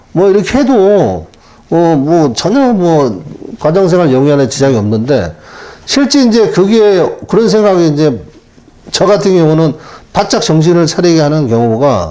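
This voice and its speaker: A high-pitched man at a fairly slow pace with long, frequent pauses, very wide pitch swings and very even loudness, amid audible room echo and noticeable background noise. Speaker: taxi driver, retired telecom employee. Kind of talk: interview.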